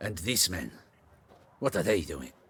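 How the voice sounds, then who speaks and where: The voice is raspy. It belongs to a man doing a put-on character voice. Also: very deep, low pitch for a man. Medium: video game. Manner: curt, authoritative.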